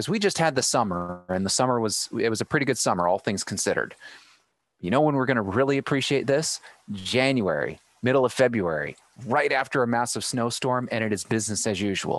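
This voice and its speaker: Against a quiet background, a man with a plain, everyday voice speaks at a fairly quick pace and medium pitch with lively intonation. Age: 30s. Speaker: live streaming specialist. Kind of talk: casual chat. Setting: video call live stream.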